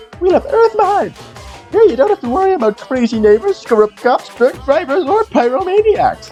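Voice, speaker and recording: A man puts on a character voice at an extremely high pitch, with very wide pitch swings and a moderate pace. Clear music plays in the background. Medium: dub.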